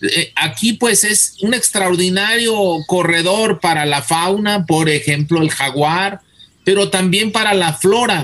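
A man's high-pitched voice at a very slow pace with ordinary pitch variation. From Mexico, Guadalajara (Jalisco). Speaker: botany professor and researcher. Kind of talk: radio interview. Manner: halting, repeats words.

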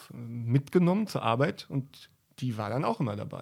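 Speaking at a fairly slow pace, a man of medium pitch shows ordinary pitch variation. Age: 40s. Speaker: cameraman. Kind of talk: interview. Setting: hotel. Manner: halting.

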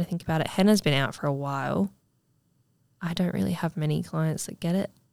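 Recorded very cleanly against a silent background, a woman with an Australian accent talks in a fairly low pitch and a fairly even intonation. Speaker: lash technician and podcast host. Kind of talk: casual chat.

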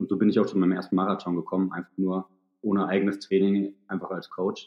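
Fairly low in pitch, a man talks at a fairly quick pace in an ordinary speaking voice. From Thuringia, Germany. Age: 30s. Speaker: ultrarunner and sports therapist. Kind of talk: podcast interview.

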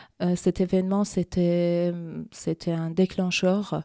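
With a Persian accent, a woman speaks in a fairly low pitch and a dark, mellow tone, her intonation monotone and flat, in a dry, close sound with no echo on a very clean recording with a silent background. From Iran. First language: Persian (speaking French). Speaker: feminist activist. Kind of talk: interview. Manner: halting.

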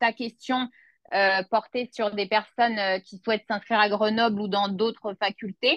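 An ordinary speaking voice at a fairly slow pace, dry and close with no echo, over a quiet background. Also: woman. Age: 30s. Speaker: notary assistant and law student. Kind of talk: interview testimony.

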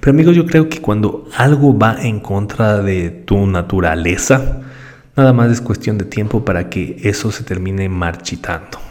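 A man speaks at a fairly slow pace with lively intonation amid noticeable background noise. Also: fairly low pitch for a man. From Ecuador. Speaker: podcast host, digital marketer. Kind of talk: solo podcast monologue. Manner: conversational with frequent fillers and repetitions.

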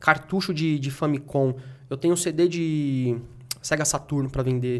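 Talking at a moderate pace, a man uses a normal speaking voice pitched fairly high, with fairly even intonation. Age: 30s. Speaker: game collector and reseller. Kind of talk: casual chat.

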